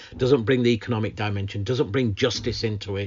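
Speaking at a very fast pace with a Lancashire accent, a man uses a fairly low, somewhat breathy voice with fairly even intonation. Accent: northern English (Lancashire). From northern England, Lancashire. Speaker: climate justice campaigner. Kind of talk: interview. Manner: halting with repetitions.

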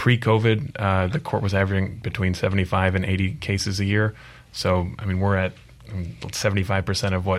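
A man with an American accent speaks in an ordinary speaking voice with ordinary pitch variation. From Michigan. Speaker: attorney. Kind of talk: interview discussion.

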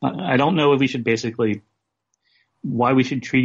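The speaker talks at a very fast pace with an American accent and fairly even intonation. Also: man. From US South. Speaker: photographer and writer. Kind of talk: interview.

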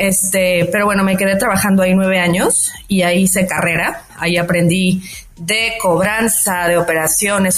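Noticeable background noise fills the clip. A woman speaks over it in a flat monotone. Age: 40s. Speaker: fintech founder. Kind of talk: interview. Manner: frequent fillers like este and eh.

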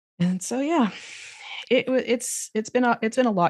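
A woman speaks with an American accent and lively intonation at a moderate pace. The recording is very clean, with a silent background. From United States. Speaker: yoga instructor. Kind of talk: casual chat.

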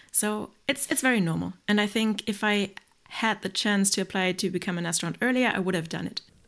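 Speaking at a fairly quick pace, a woman has an unremarkable speaking voice of medium pitch with ordinary pitch variation. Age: 30s. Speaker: reserve astronaut and biotechnologist. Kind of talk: podcast interview.

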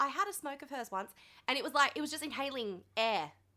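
In an Australian accent, a woman speaks at a very fast pace in a raised, projected voice, her high pitch swinging very widely and her tone bright, sharp and animated. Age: 20s. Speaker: podcast host. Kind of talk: casual chat. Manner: animated, jokey.

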